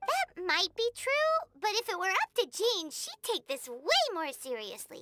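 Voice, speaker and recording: This put-on character voice sits at an extremely high pitch and moves in very wide pitch swings. The pace is moderate. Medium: video game.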